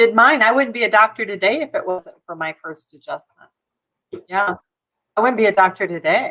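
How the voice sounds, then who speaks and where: With an ordinary speaking voice, a woman talks at a fairly quick pace in a fairly high pitch, her intonation lively and her loudness swinging widely. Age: 60s. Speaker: chiropractor. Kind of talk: casual chat. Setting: live stream.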